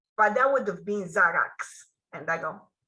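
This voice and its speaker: A woman talks at a moderate pace. Her tone is bright and sharp. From Romania. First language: Romanian. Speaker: author. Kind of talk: interview.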